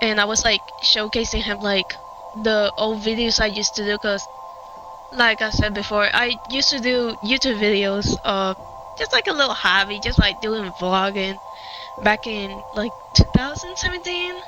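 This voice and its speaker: With a strong Puerto Rican accent, a woman speaks at a fairly high pitch and moderate pace with lively intonation while music plays in the background. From Puerto Rico. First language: Spanish. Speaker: gaming streamer. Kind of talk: casual chat. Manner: halting.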